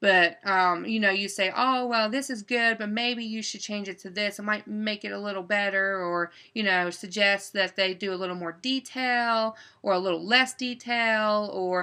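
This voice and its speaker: Against a quiet background, a woman with an Appalachian accent talks at a moderate pace and medium pitch, her bright, sharp tone and fairly even intonation running on with hardly any pauses. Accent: Appalachian dialect, noticeable. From West Virginia. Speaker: writer and book publisher. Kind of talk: casual monologue.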